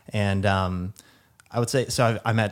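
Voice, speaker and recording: A plain, everyday voice in an American accent, at a moderate pace with fairly even intonation, on a very clean recording over a silent background. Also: man. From Kentucky and Texas. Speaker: psychiatry resident. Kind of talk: casual chat.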